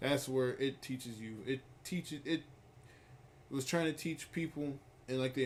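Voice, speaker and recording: A man talks in an unremarkable speaking voice at medium pitch, keeping a moderate pace and fairly even intonation. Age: 20s. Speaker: streamer. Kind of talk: casual chat.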